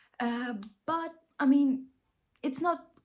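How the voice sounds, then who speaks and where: A woman is speaking. She has a Ukrainian accent. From Ukraine. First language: not English. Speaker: vlogger. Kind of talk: casual vlog monologue. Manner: animated, halting with restarts.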